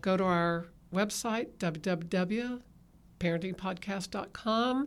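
A woman with a Texan accent, medium in pitch, her pitch moving in an ordinary way, on a very clean recording with a silent background. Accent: Texan Southern US. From Texas. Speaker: podcast host, parenting ministry leader. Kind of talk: casual chat. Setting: studio.

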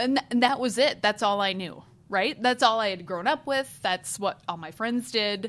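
Speaking with an American accent, a woman keeps a moderate pace. Her intonation is lively. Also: fairly high pitch for a woman. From US Midwest, rural northern Iowa. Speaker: foundation executive director. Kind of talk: interview. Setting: office.

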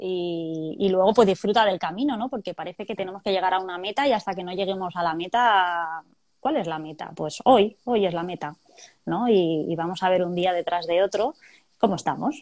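Speaking at a moderate pace, a woman has a normal speaking voice, medium pitch and ordinary pitch variation. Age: 40s. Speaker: chemical plant worker. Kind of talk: testimony. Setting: video call.

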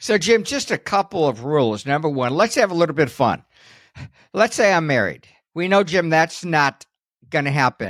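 A man speaks at a moderate pace in a fairly high pitch, his voice swinging very widely up and down, with a dry, close sound free of echo on a very clean recording with a silent background. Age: 60s. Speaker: podcast co-host and Social Security instructor. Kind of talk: casual informative podcast chat. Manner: conversational, informal.

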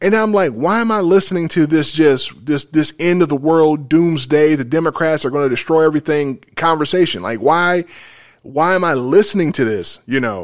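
A man with an American accent, fairly high-pitched, at a moderate pace with ordinary pitch variation, on a very clean recording with a silent background. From US South. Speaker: podcast host. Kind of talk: casual chat. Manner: measured.

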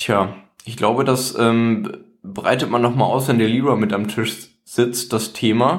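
A very slow pace with ordinary pitch variation and very even loudness, plus audible room echo. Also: man, medium pitch for a man. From northern Germany, Lower Saxony near Bremen. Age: 20s. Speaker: podcast co-host. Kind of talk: casual chat.

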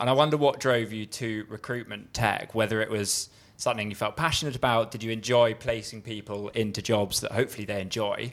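Heard on a very clean recording with a silent background, a man has an ordinary speaking voice at a medium pitch. He moves at a fairly quick pace with fairly even intonation. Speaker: podcast co-host and investor. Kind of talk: interviewing, conversational.

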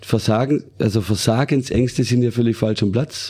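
The man has a dark, mellow tone and ordinary pitch variation. He speaks at a moderate pace. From Germany, Baden-Württemberg. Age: 40s. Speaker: western riding champion and horse trainer. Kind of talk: casual interview.

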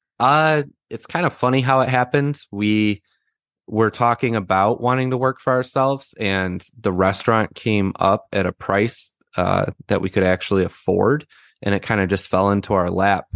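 A man with an American accent speaks at a moderate pace and a fairly low pitch, with ordinary pitch variation and an ordinary speaking voice. The sound is dry and close with no echo against a quiet background. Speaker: real estate investor. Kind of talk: podcast interview.

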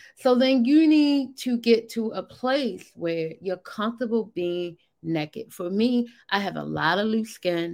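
With an animated tone and lively intonation, a woman speaks at a fairly slow pace in a fairly high pitch. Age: 50s. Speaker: weight loss coach. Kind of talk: motivational talk.

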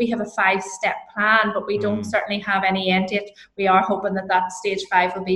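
Speaking fairly quickly with a Northern Irish accent, a woman keeps her medium pitch on fairly even intonation. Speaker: HR consultant and lecturer. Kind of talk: interview.

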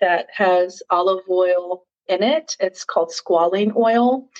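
A woman in a normal speaking voice talks at a medium pitch with ordinary pitch variation. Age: 50s. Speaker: wellness podcaster and video host. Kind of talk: casual product review vlog. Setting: home guest bathroom. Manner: casual with frequent fillers.

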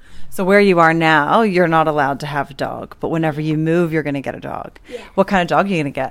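Speaking very fast with hardly any pauses, a woman uses a very deep, low pitch and ordinary pitch variation. She talks with an Australian accent. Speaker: podcast co-host, parent. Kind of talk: casual interview with children.

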